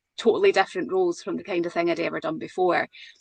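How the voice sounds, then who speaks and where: A woman's medium-pitched voice in a Scottish accent, dry and close with no echo. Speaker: podcast co-host. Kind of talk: casual chat.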